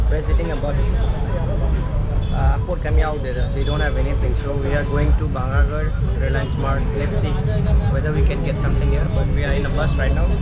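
A man talking at a fairly quick clip over loud background noise. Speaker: travel vlogger. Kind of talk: casual vlog chat. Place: bus. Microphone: phone near.

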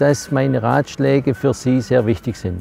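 Music in the background behind a man's fairly slow delivery. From Germany. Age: 70s. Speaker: retired company senior expert. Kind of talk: interview answer.

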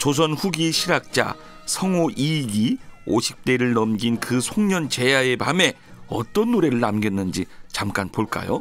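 Faint music sits behind a fairly slow voice that holds a very even loudness while its pitch swings very widely, the sound dry with no echo. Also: man. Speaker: traditional singer and radio host. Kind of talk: radio program host narration. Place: studio.

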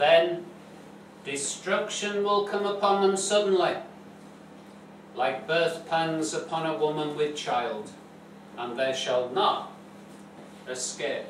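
Spoken at a very slow pace with long, frequent pauses and ordinary pitch variation, the voice comes through light background noise and audible room echo. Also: man, high pitch for a man. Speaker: preacher. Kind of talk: sermon. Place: church. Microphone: camera far.

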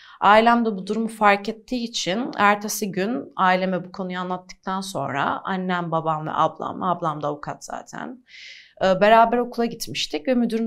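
A woman talks at a moderate pace with hardly any pauses and ordinary pitch variation. Her loudness swings a lot over a quiet background. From Diyarbakır, southeastern Turkey; Turkey. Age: 20s. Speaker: activist and model; interview guest. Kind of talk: interview. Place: studio.

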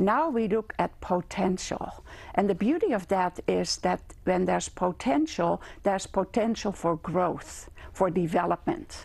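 Speaking at a fairly slow pace, a woman shows lively intonation and vocal fry with a Dutch accent. Her loudness is very even. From Netherlands. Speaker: gerontology lecturer. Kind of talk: interview. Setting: studio. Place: studio. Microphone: lapel.

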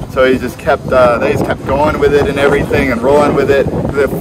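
A man's very fast speech, dry with no echo, over loud background noise. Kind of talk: storytelling tour guide chat. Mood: cheerful, amused. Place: boat.

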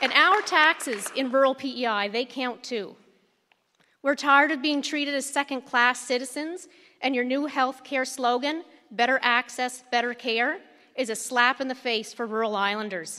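Against a quiet background, a woman raises and projects her high, bright, sharp voice with ordinary pitch variation. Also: moderate pace. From Prince Edward Island, Canada. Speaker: community activist, committee chair. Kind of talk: prepared public statement. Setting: microphone at public meeting. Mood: angry, protesting. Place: hall.

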